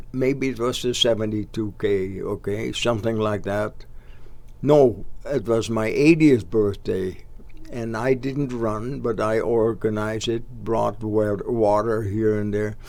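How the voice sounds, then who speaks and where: Speaking with a Dutch accent, a man keeps a medium pitch and fairly even intonation at a fairly slow pace. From Netherlands. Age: 80s+. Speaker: local sports organizer. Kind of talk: casual interview. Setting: studio.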